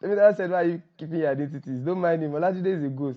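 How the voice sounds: At a very fast pace, a man speaks with a fairly high pitch and ordinary pitch variation.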